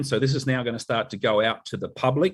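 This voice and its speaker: A man speaks with an Australian accent. His pitch is medium. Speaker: company advisor presenting updates. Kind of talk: corporate online meeting update. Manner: elegant, proper.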